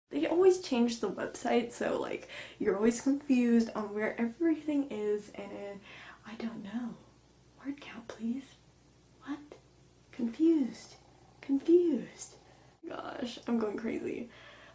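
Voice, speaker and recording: A quiet woman's voice, high-pitched, with lively intonation, a fairly slow pace, long and frequent pauses, big swings in loudness, and noticeable background noise. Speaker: book vlogger. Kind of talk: casual vlog. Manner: animated.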